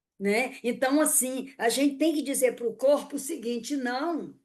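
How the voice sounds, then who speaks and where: The voice moves at a fairly slow pace with ordinary pitch variation over a quiet background. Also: woman. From Northeast Brazil, Fortaleza. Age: 70s. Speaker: poet and educator. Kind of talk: interview conversation.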